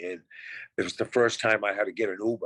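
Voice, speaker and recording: Dry and close with no echo, a man speaks in a plain, everyday voice at a fairly low pitch with fairly even intonation. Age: 60s. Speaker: reality TV contestant. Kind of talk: casual interview chat.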